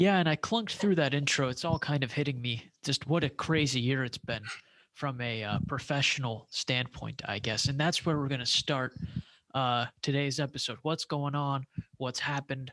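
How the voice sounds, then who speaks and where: Soft-spoken and fairly high-pitched, a man talks at a moderate pace in a bright, sharp tone with ordinary pitch variation, in a dry, close sound with no echo. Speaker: sports podcast host. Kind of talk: casual chat. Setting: room at home with roommate.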